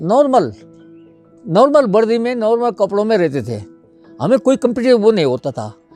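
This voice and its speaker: A man speaks with a high pitch and lively intonation. Music plays in the background. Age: old. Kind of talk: interview answer.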